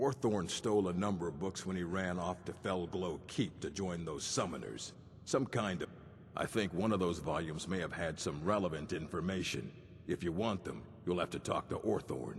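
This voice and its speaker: A man's very deep, low-pitched put-on character voice at a moderate pace, with clear background noise. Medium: video game. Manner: gruff, curt.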